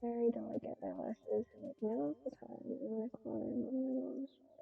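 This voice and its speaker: A soft-spoken woman at a moderate pace. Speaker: artist streaming live painting. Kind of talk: casual live-stream chat while painting. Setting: live stream at home with cat. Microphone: too quiet.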